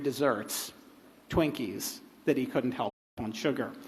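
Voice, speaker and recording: Audible room echo surrounds a man with an American accent and ordinary pitch variation. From United States. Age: 60s. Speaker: writer on a festival panel. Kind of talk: panel discussion. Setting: stage with audience. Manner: hesitant, many fillers.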